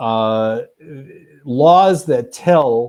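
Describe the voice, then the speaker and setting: A man with an American accent speaks at a medium pitch in a dark, mellow tone, on a very clean recording with a silent background. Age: 60s. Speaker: historian and author. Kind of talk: panel discussion.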